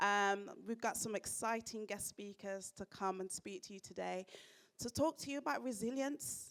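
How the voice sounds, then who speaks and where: In a Birmingham accent, a woman speaks at a moderate pace with an animated tone. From Birmingham, England. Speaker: event presenter. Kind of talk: live event introduction. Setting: stage with audience.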